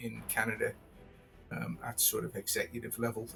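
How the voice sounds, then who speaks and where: Music plays in the background as a man with a British accent talks at medium pitch. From Britain. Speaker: professional wargamer. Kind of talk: casual chat.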